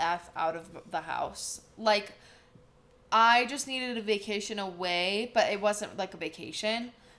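With an American accent, a woman speaks at a moderate pace and fairly high pitch. Hers is a normal speaking voice with lively intonation. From US Midwest, Wisconsin. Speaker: esthetician and instructor, podcast co-host. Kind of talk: casual chat. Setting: studio.

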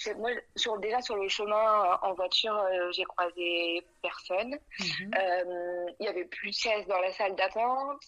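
A woman with a bright, sharp tone speaks fairly slowly at a medium pitch with ordinary pitch variation. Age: 20s. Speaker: young mother. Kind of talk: testimony.

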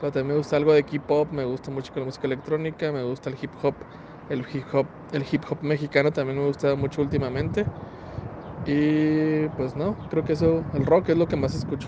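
A man speaks in a fairly high pitch at a fairly quick pace with monotone, flat intonation. Noticeable background noise can be heard. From Chihuahua, northern Mexico (Parral; raised in Ciudad Juárez). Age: 30s. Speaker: graphic designer and podcaster. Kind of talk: recorded voice message answers. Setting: recorded separately, voice message.

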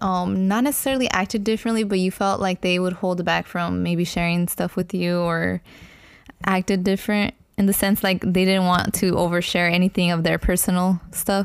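An unremarkable speaking voice moves at a moderate pace, with fairly even intonation and very even loudness. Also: woman. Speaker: podcast co-host. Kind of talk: casual chat. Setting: recording at home, dog barking in background.

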